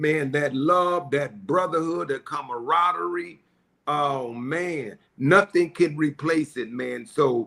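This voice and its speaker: A man speaks at a very slow pace with a bright, sharp tone. His pitch is fairly high, with ordinary variation. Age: 60s. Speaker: panel guest, former movement member. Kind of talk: reminiscing panel discussion. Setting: live online broadcast. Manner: animated, repetitive.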